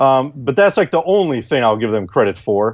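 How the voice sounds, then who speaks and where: An American-accented man has an unremarkable speaking voice, fairly high in pitch with lively intonation. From Wisconsin. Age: 40s. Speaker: gun magazine editor. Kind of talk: casual chat.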